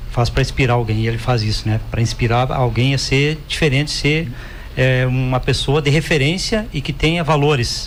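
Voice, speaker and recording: A man speaks with very even loudness. There is noticeable background noise and audible room echo. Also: medium pitch for a man, ordinary pitch variation, moderate pace. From Rio Grande do Sul, Brazil (rural). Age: 60s. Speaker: cooperative executive. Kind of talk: podcast interview.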